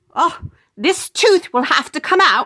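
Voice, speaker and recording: In a put-on character voice, a woman speaks at a fairly slow pace with an extremely high pitch. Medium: read story. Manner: brisk, precise.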